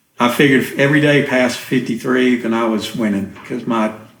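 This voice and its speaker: In audible room echo, a man talks at a moderate pace with a monotone, flat intonation. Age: 60s. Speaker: church member sharing recovery story. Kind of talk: testimony interview.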